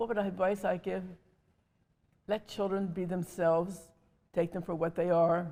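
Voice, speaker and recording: A woman with an American accent, medium-pitched, dark and mellow in tone, flat and monotone, with long, frequent pauses. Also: moderate pace. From Wilmington, Delaware, USA. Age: 80s+. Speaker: mother and foster mother. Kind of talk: interview answer.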